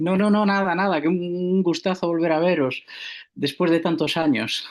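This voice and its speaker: In a Galician accent, a man talks at a high pitch with fairly even intonation. His pace is moderate and his loudness very even. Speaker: university theatre organiser. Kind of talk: conference talk by video call. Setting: video call.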